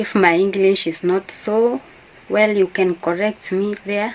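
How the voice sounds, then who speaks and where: Speaking at a very slow pace with a Kenyan accent, a woman uses a medium pitch and fairly even intonation over noticeable background noise. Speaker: YouTuber. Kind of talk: casual talk to camera. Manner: halting.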